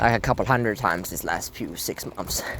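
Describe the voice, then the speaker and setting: At a moderate pace, a man with a non-native accent speaks with lively intonation. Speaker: carnivore diet vlogger. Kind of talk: casual monologue vlog. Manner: animated; halting.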